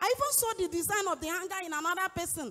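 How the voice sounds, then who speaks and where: A woman at an extremely high pitch, with very wide pitch swings and a fairly quick pace, against a quiet background. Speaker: congregant, furniture trader; speaker. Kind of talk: testimony. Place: church. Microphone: handheld.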